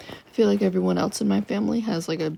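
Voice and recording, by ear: Fairly slow speech in a dark, mellow tone with vocal fry and fairly even intonation. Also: woman.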